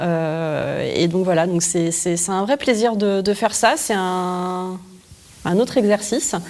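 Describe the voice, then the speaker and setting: A woman at a very slow pace, medium in pitch, with ordinary pitch variation. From France, Lyon. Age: 40s. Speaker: entrepreneur and author. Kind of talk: interview. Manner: hesitant, many fillers.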